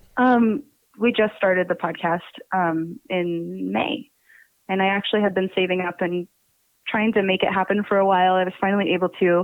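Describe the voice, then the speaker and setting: A woman speaks in an ordinary speaking voice at a medium pitch. She keeps a moderate pace with ordinary pitch variation. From Pennsylvania. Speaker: podcast co-host. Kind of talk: interview. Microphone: backup audio, tech issue.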